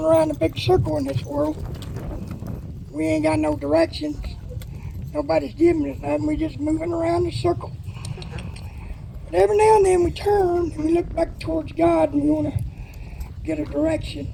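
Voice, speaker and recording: The speaker has a Texas accent and leaves long, frequent pauses. Background noise is noticeable throughout. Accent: Texas Southern drawl. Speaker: horse trainer. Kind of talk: live demonstration with sermon. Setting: PA system at outdoor horse pen. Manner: loud.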